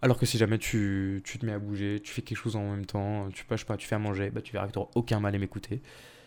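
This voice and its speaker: A man with a fairly low pitch and monotone, flat intonation, very fast pace, big swings in loudness, on a very clean recording with a silent background. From Paris region, France. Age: 20s. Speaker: student podcaster. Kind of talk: casual solo monologue. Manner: hesitant, many fillers.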